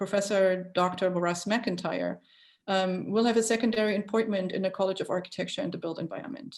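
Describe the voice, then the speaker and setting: Recorded very cleanly against a silent background, a woman speaks at a very fast pace with fairly even intonation. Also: medium pitch for a woman. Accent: German. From Germany. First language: German. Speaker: architecture school dean. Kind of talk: interview. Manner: hesitant, many fillers.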